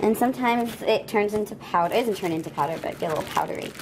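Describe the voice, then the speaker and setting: There is noticeable background noise behind this woman. Her voice sits at a medium pitch with ordinary pitch variation. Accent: Long Island. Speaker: pet vlogger. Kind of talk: casual vlog tutorial. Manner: chatty, talkative.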